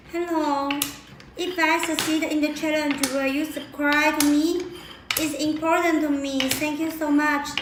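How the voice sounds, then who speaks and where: Flat, monotone speech comes at a fairly slow pace, with noticeable background noise and audible room echo. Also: woman, high pitch for a woman. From China. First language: Chinese. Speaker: live streamer. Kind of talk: live stream chat. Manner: repetitive.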